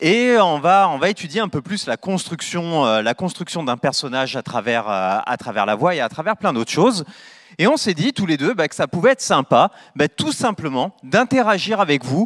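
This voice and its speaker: Pitch swings very widely at a moderate pace. The background is quiet. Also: man, high pitch for a man. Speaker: event host. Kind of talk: moderated conference. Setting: stage with audience. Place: hall.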